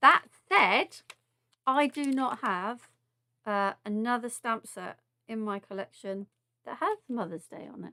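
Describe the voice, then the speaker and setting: With a southern English accent and a bright, sharp tone, the speaker goes at a fairly slow pace with long, frequent pauses, big swings in loudness and ordinary pitch variation, in a dry, close sound with no echo. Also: woman, fairly high pitch for a woman. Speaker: craft demonstrator. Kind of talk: live craft tutorial. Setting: live stream. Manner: casual, chatty with filler words.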